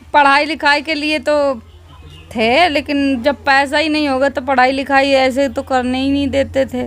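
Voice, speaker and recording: A woman speaks at a fairly slow pace in a high pitch, her intonation monotone and flat. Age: 20s. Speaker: social media video creator; interviewee. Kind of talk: interview. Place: open country.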